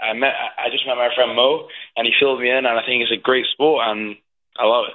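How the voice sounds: This man talks fast at a medium pitch, with little pitch movement.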